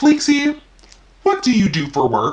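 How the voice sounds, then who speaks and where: A man's put-on character voice at an extremely high pitch. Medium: solo performance. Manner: snide, passive-aggressive.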